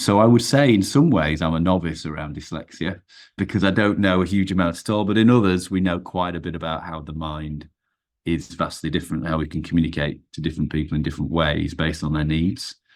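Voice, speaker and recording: Talking at a very fast pace, a man uses a very deep, low pitch with ordinary pitch variation. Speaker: performance coach. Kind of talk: podcast interview. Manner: halting.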